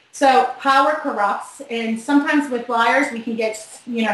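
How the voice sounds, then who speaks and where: A woman with a Boston accent speaks in a fairly high voice. Noticeable background noise is present. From Boston, US. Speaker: body language expert. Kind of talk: interview. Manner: fast.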